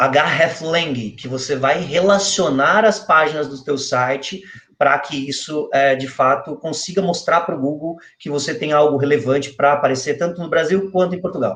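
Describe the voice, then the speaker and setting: A normal speaking voice from a man, fairly high-pitched, moderately paced, with ordinary pitch variation. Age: 20s. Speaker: SEO specialist. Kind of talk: online interview, technical explanation.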